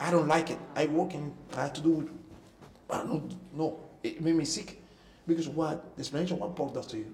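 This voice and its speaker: A man with a Cuban accent at a fairly quick pace, fairly high in pitch, with ordinary pitch variation and long, frequent pauses. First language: Spanish. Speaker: former professional musician. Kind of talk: interview testimony. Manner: halting.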